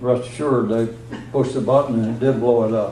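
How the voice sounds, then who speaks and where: Over noticeable background noise, a man at a medium pitch speaks at a moderate pace with fairly even intonation. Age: 80s+. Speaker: retired space program launch engineer. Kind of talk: public talk to an audience. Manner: casual, anecdotal, with frequent hesitations.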